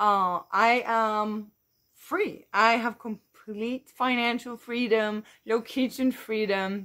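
Against a quiet background, a woman with a Dutch accent speaks at a very slow pace and a fairly high pitch, her intonation fairly even. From Netherlands. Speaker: YouTuber and online entrepreneur. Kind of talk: vlog monologue. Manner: hesitant with many fillers. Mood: upbeat, encouraging. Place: garden. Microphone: phone near.

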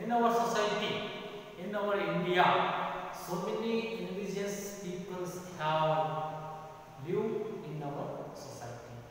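In a room with strong echo and light background noise, a man with a high pitch for a man speaks at a fairly slow pace, leaving long, frequent pauses, with big swings in loudness and ordinary pitch variation. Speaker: school teacher. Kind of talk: lecture. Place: classroom. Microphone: camera far.

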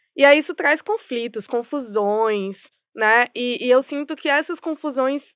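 This woman speaks at a very slow pace in a high pitch with ordinary pitch variation. The sound is dry with no echo, and the background is quiet. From Bahia, Brazil (Salvador metro area); Bahia, Brazil. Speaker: advertising strategy director; podcast guest. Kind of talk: podcast interview. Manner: halting, many fillers. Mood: reflective, personal. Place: studio. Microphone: studio mic.

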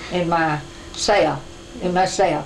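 A woman speaks with an American accent. Light background noise can be heard. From rural Missouri. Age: 80s+. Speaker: farm woman. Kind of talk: interview answer. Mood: warm, earnest, joyful. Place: home room.

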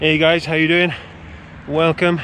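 Over light background noise, a man talks fairly quickly in a dry sound with no echo. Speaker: mountain bike vlogger. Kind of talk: casual vlog chat. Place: open country. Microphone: phone near.

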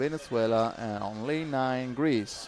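At a fairly slow pace, a man speaks in a medium-pitched voice. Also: slightly mellow tone.

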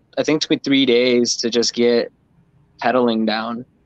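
Against a quiet background, a man speaks in a flat monotone, the sound dry with no echo. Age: 30s. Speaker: freeskating community member. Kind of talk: casual chat. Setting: live stream. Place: home room. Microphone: video call.

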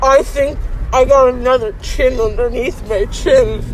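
A woman speaks at a very slow pace. The sound is dry with no echo, and background noise is noticeable. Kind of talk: casual dazed chat. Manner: slurred, groggy speech through swollen mouth. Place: car.

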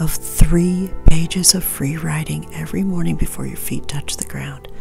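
Clear music behind a woman speaking at a moderate pace. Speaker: witch, tarot reader. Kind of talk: ASMR Q&A, answering viewer questions. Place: home room.

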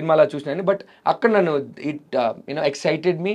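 A man's intonation is lively, and the background is quiet. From Rayalaseema, Andhra Pradesh; Andhra Pradesh. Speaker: actor; actor interview guest. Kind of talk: interview. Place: studio. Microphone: lapel.

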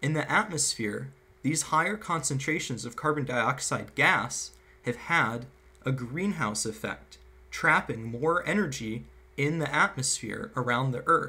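A man talks in a bright, sharp tone with vocal fry. He keeps a fairly slow pace with lively intonation. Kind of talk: lecture. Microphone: webcam.

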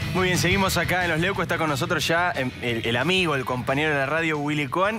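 Against clear music in the background, a man's fairly high voice races at a very fast pace with ordinary pitch variation. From Argentina. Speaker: TV news host. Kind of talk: TV interview. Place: studio. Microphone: headset.

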